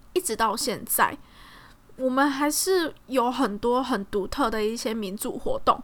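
A woman speaks in a high voice with a Taiwanese accent. Her pace is fairly slow and her pitch varies in an ordinary way. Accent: Taiwanese Mandarin. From Taiwan, Tainan. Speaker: podcast host. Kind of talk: casual solo podcast talk.

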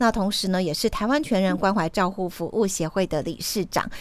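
A woman at a medium pitch, a normal speaking voice, and a moderate pace. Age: 40s. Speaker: radio host. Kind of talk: radio interview.

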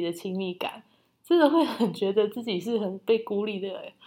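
Speaking at a moderate pace, a woman uses a plain, everyday voice set at a fairly high pitch. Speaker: podcast co-host. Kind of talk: casual chat.

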